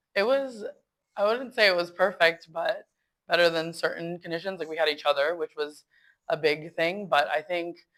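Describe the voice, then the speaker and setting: In a Canadian accent, a woman with a plain, everyday voice speaks at a moderate pace and a fairly low pitch with ordinary pitch variation, on a very clean recording with a silent background. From Canada; Winnipeg. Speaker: guest. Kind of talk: interview.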